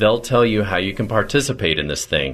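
A man speaks at a medium pitch with vocal fry. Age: 40s. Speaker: radio show host. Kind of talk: infomercial sales pitch. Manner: enthusiastic.

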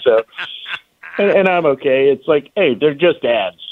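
Speaking with an American accent, a man has a plain, everyday voice, ordinary pitch variation and a moderate pace. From Lynchburg, Virginia. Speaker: marketing and advertising expert, restaurant owner. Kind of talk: casual radio interview.

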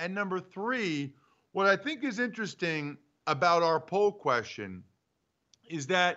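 Speaking at a fairly slow pace, a man with an American accent has an animated tone. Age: 40s. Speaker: sports radio host, former pro football lineman. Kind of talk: casual sports talk show.

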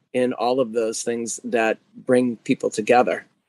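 A man with a plain, everyday voice speaks at a medium pitch with fairly even intonation, the sound dry and close with no echo. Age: 40s. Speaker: physical therapist and gym owner. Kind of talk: interview.

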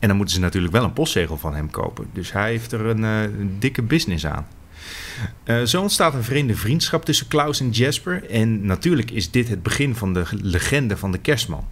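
A man speaks at a fairly quick pace, his medium-pitched voice making very wide pitch swings. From Netherlands, fishing village. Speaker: podcast co-host, film reviewer. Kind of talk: casual chat.

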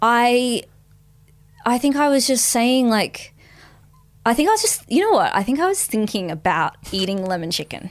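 The speaker moves at a moderate pace, with very wide pitch swings and long, frequent pauses. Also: woman, high pitch for a woman. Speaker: comedian and podcast co-host. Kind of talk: casual chat.

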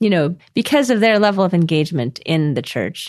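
Over a quiet background, a woman with an American accent speaks at a moderate pace, her pitch fairly low and her intonation lively. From California, Orange County. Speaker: scholar and author. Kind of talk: interview.

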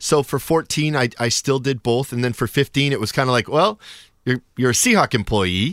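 The recording is very clean, with a silent background and a dry, close sound with no echo. A man speaks at medium pitch and a moderate pace, with ordinary pitch variation. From US Pacific Northwest, north Seattle. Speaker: soccer radio commentator. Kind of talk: casual interview.

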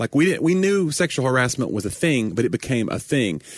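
A man with an American accent, lively intonation and a fairly quick pace, against a quiet background. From Tennessee. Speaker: stand-up comedian and podcast co-host. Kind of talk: casual chat.

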